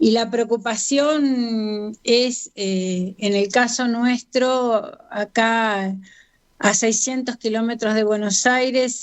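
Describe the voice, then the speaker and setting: A woman with a fairly high pitch, a very slow pace and fairly even intonation. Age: 70s. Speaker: feminist activist. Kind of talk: radio interview.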